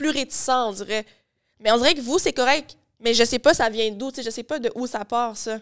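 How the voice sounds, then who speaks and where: Against a quiet background, a woman speaks with a high pitch. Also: ordinary pitch variation, moderate pace. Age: young. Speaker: podcast host; podcast guest. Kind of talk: casual chat. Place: studio. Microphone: studio mic.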